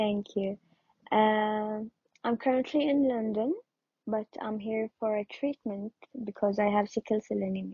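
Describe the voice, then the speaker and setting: Speaking fairly slowly with a non-native accent, a woman keeps a fairly high pitch and fairly even intonation, with long, frequent pauses. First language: not English. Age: 20s. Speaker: audience member with sickle cell. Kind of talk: question from audience. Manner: hesitant.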